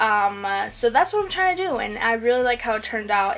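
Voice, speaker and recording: A woman is speaking. Her voice has a fairly high pitch. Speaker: makeup YouTuber. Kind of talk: voiceover tutorial. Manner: fast; casual, hesitant with fillers.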